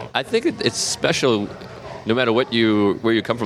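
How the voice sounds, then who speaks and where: Over music in the background, a man talks at a fairly quick pace with an American accent. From Massachusetts, south of Boston. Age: 30s. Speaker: comedian. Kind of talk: casual chat.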